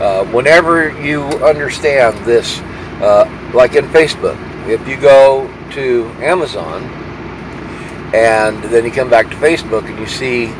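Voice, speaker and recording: Noticeable background noise surrounds a man speaking at a fairly slow pace with long, frequent pauses. His medium pitch varies in an ordinary way. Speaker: truck driver vlogger. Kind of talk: casual vlog monologue. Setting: parked at a truck stop. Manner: halting, many fillers.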